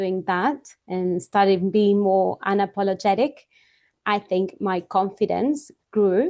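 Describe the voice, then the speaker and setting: A woman with a non-native accent speaks very slowly at a medium pitch. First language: not English. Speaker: podcast host. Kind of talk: interview; scripted introduction.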